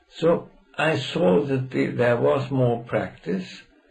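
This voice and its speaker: A man speaks with music in the background. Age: 80s+. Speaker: law professor. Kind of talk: interview answer.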